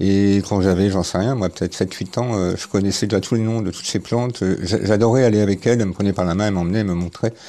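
A man's fairly low, dark, mellow voice at a very fast pace with fairly even intonation. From central France, Cher. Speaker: herbalist and wild plant gatherer. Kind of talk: interview testimony. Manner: halting, many hesitations.

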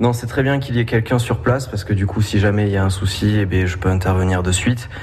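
Room echo can be heard. There is noticeable background noise. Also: man. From Béarn, southwest France. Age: young. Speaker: campsite maintenance worker. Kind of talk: radio interview. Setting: on location at a campsite.

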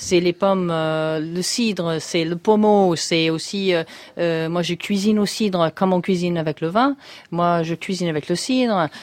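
A woman with a fairly low pitch and ordinary pitch variation speaks at a fairly slow pace on a very clean recording with a silent background. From US, Syracuse, New York State. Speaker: chef. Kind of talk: radio interview. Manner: hesitant.

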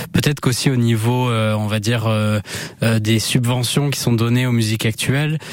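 Against noticeable background noise, a medium-pitched man speaks at a moderate pace with fairly even intonation. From Basque Country, France (Anglet). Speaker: music journalist. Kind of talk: radio interview.

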